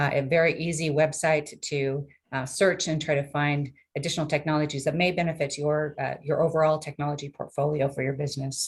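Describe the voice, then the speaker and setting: A woman speaks at a fairly quick pace in a very deep, low voice that is somewhat breathy, with fairly even intonation. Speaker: technology transfer program staff. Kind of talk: webinar presentation. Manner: fast.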